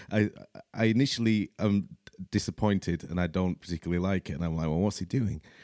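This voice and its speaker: A man with a Yorkshire accent speaks at a very fast pace, his very deep, low pitch and dark, mellow tone showing ordinary pitch variation. The sound is dry and close, with no echo. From Leeds, Yorkshire, England. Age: 30s. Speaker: podcast host. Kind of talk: casual monologue. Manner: hesitant, many fillers.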